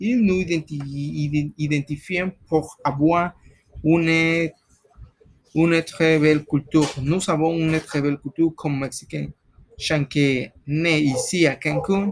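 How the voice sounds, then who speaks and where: A very slow pace with fairly even intonation, in a dry, close sound with no echo. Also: man, fairly high pitch for a man. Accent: Spanish. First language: Spanish (speaking French). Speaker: guest on student radio-style show, psychologist. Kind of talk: mock radio discussion. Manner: halting.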